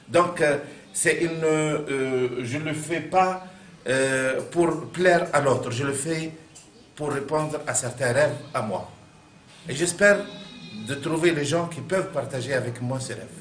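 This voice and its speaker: With an Arabic accent, a man speaks at a fairly high pitch with ordinary pitch variation, at a very slow pace with long, frequent pauses. Room echo is audible and background noise is noticeable. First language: Arabic (speaking French). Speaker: artist. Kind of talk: interview. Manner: halting.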